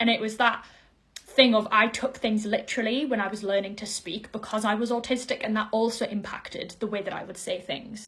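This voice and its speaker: Fairly quick, fairly high-pitched female speech against noticeable background noise. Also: fairly even intonation. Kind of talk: neutral, carefully articulated.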